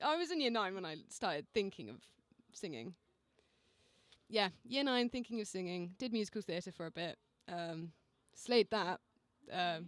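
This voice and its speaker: A woman with an English accent speaks at a moderate pace and a medium pitch, her intonation lively. She takes long, frequent pauses, and the sound is dry and close with no echo. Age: 20s. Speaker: singer-songwriter. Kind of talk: casual radio interview.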